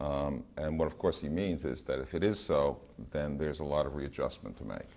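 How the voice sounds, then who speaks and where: A man speaks at a moderate pace with vocal fry, and the room echo is audible. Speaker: researcher. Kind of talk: lecture. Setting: gallery with audience. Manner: hesitant, many fillers.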